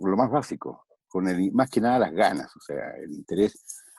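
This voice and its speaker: This man speaks fairly slowly. The recording is close and dry, without any echo. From Chile. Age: 50s. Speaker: voice actor. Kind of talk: interview answer.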